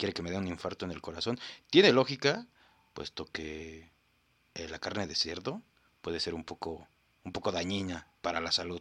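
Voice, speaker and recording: A man with a Mexican accent speaks at a moderate pace in a very deep, low pitch, pausing long and often. His tone is animated, with ordinary pitch variation and big swings in loudness, on a very clean recording with a silent background. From Mexico. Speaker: podcast host. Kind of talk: casual comedic commentary.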